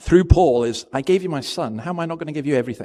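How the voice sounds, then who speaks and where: Speaking at a very fast pace, a man uses a fairly high pitch. He has a Scottish accent and ordinary pitch variation. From Scotland. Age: 60s. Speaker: pastor. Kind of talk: sermon. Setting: church. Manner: conversational.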